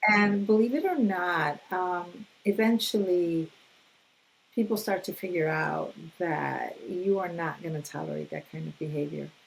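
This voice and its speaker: A woman's medium-pitched voice with ordinary pitch variation, an unremarkable speaking voice. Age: 60s. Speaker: mental health counselor. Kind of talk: casual interview conversation.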